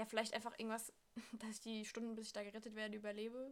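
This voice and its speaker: A woman is speaking. Her pitch is fairly high. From Hesse, Germany (Frankfurt). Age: 20s. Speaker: au pair. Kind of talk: casual chat.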